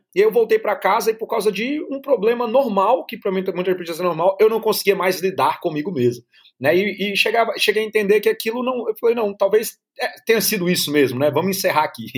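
Here a man speaks at a very fast pace and a high pitch. His intonation is lively. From Brazil (Brasília, then Natal). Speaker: long-term traveler. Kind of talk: interview.

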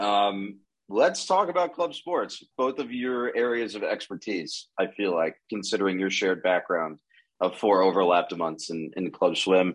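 A man speaks at a moderate pace with lively intonation. His is a plain, everyday voice, fairly low in pitch. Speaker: podcast host. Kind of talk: casual chat.

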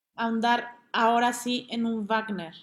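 A woman's high-pitched voice comes through on a very clean recording with a silent background. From Mexico City. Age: 30s. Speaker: opera singer. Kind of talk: interview.

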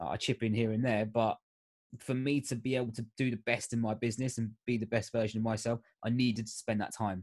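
In an English accent, a man at medium pitch speaks very fast in a flat monotone, the sound dry and close with no echo. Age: 30s. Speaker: life coach. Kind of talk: casual chat.

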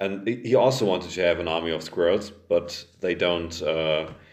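With a German accent, this man speaks at a very deep, low pitch. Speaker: podcast host. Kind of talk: casual chat.

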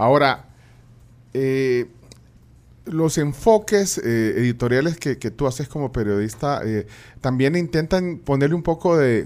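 In a very clean recording with a silent background, a man talks fairly slowly at medium pitch. His intonation is lively, broken by long, frequent pauses. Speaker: radio host. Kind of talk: interview. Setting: studio. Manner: halting.

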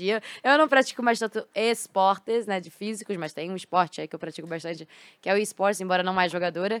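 The delivery is very fast with ordinary pitch variation. The recording is very clean and dry, with a silent background, a close sound, and no echo. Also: woman. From Rio de Janeiro, Brazil (Botafogo). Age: 20s. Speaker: esports team CEO and former pro gamer. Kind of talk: casual interview. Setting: studio.

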